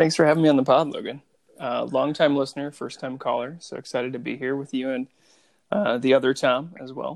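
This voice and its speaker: In a plain, everyday voice, a man with a fairly high pitch talks at a fairly quick pace, his intonation fairly even and his loudness swinging widely. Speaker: fantasy league member. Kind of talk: casual chat.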